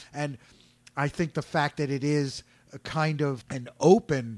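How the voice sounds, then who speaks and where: A man's normal speaking voice, fairly high in pitch with ordinary pitch variation, at a fairly slow pace, in a dry, close sound with no echo and a very clean recording against a silent background. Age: 50s. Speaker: community radio host. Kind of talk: casual radio interview.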